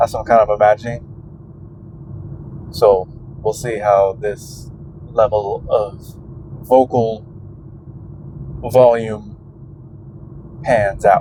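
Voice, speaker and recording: Noticeable background noise sits behind a man speaking very slowly. His intonation is fairly even, and his pauses are long and frequent. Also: medium pitch for a man. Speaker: vlogger. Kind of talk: casual monologue while driving. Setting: in a truck. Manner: quieter than usual, conversational volume; usually loud.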